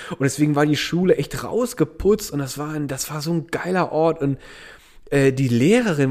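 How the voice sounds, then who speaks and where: Fairly high pitch from a man, with a plain, everyday voice and a moderate pace. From Germany, Eifel region. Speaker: podcast co-host. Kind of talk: casual chat.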